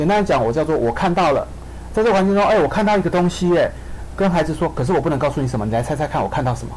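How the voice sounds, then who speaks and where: A man talks very fast with lively intonation in a fairly high voice. Noticeable background noise runs underneath. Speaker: occupational therapist. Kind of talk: radio interview. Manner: hesitant with many fillers.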